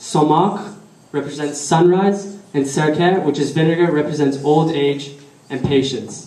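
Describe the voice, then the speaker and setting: A man with a slight Persian accent speaks at a fairly slow pace in a fairly high pitch, his intonation fairly even, with noticeable background noise and audible room echo. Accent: weak Persian. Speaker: speaker at a religious community celebration. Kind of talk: prepared speech. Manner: halting.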